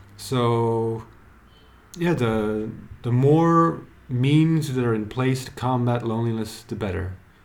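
At a fairly slow pace, a man of medium pitch speaks with ordinary pitch variation amid audible room echo. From Belgium. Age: 30s. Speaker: writer. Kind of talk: casual chat.

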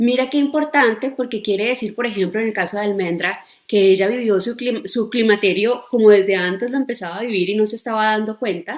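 A woman talks at a fairly quick pace with hardly any pauses, using an unremarkable speaking voice with a fairly high pitch and ordinary pitch variation. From Colombia. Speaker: gynecologist. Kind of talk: expert explanation in interview.

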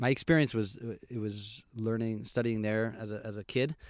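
A man with a New York State accent speaks at a fairly low pitch on a very clean recording with a silent background. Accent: American (New York State). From US Northeast (Albany, New York). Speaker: tour guide. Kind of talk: casual chat.

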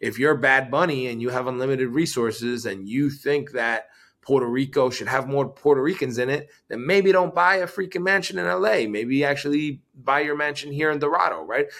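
A man speaks in an ordinary speaking voice at medium pitch and a moderate pace. His intonation is lively, and the recording is very clean with a silent background. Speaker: entrepreneur and investor. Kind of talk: interview.

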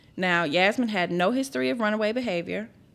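A woman of medium pitch talks fairly quickly in a Southern US accent with very wide pitch swings, in a very clean recording with a silent background. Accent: Southern US, country. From Memphis, Tennessee. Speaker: podcast co-host. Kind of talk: true crime storytelling; scripted outro reading. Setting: studio.

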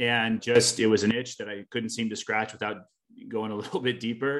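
At a moderate pace and with fairly even intonation, a man speaks in an unremarkable speaking voice at medium pitch against a quiet background. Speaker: volleyball coach and grad student. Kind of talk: panel discussion.

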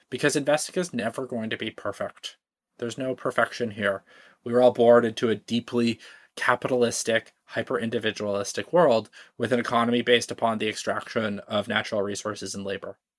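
A man talks in a normal speaking voice at medium pitch. His pace is fairly quick and his intonation fairly even. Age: 30s. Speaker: climate investing startup founder. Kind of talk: podcast interview.

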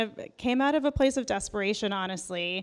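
In an American accent, a woman with an ordinary speaking voice talks at a fairly high pitch with ordinary pitch variation. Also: very clean recording, silent background. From Iran, raised in US from age two. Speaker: author and TV writer. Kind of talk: interview conversation. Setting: live event recording.

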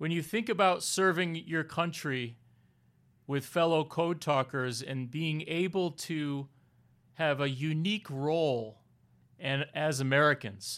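In a very clean recording with a silent background, a man with a fairly high pitch and ordinary pitch variation talks at a fairly slow pace in an ordinary speaking voice. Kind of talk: interview intro and conversation. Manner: formal, warm.

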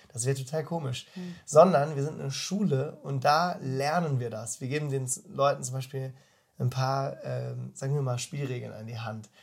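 A man speaks at a moderate pace in a somewhat breathy, medium-pitched voice with ordinary pitch variation. His loudness swings a lot. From Baden, southwest Germany (Freiburg). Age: 20s. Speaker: bible school leader. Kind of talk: casual interview. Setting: in person, face to face. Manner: animated, colloquial with many fillers.

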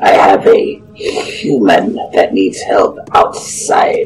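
A man's put-on character voice, extremely high-pitched, at a very slow pace. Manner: blunt, stilted, literal.

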